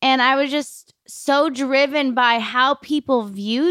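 A woman's high, bright, sharp voice is raised and projected at a fairly slow pace, with a dry, close sound with no echo in a very clean recording with a silent background. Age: 30s. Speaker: podcast host and life coach. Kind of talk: solo podcast monologue.

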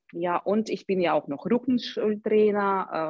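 This is a woman speaking. She goes at a fairly slow pace. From Ukraine, Odessa. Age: 30s. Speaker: personal trainer. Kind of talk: interview. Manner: halting, many fillers.

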